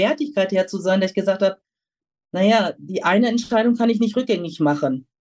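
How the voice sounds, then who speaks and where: A woman uses a plain, everyday voice at a medium pitch, with ordinary pitch variation. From Germany, Lower Rhine region. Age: 50s. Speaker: pharmaceutical sales representative. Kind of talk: interview.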